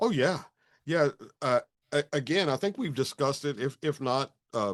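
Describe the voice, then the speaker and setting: A man speaks with a Texan accent and lively intonation. The sound is dry and close, with no echo. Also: fairly high pitch for a man, moderate pace. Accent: Texan American. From Texas. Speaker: retired marine and police officer. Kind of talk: podcast conversation.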